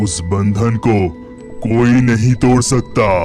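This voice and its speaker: Over clear background music, a man performs a cartoonish character voice at a fairly slow pace. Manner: calm, authoritative.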